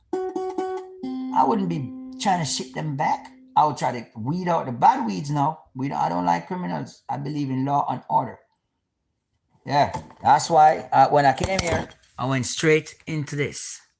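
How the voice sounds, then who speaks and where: In a Jamaican accent, a man talks at a fairly slow pace with an animated tone. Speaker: YouTuber, military veteran. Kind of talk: casual live-stream monologue. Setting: live stream at home.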